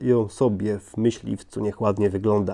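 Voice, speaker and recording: A man with a dark, mellow tone talks at a moderate pace against a quiet background. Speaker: toy model reviewer. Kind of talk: product review. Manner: hesitant, frequent word repetitions.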